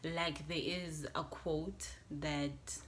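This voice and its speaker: With audible room echo around her, a woman talks in a very deep, low pitch and fairly even intonation. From South Africa, west Johannesburg. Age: 20s. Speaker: YouTuber. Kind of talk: casual vlog talk to camera.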